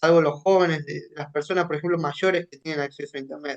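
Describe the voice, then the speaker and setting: His pitch moves in a normal way. A high-pitched man is talking. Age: 20s. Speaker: human rights activist. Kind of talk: radio interview.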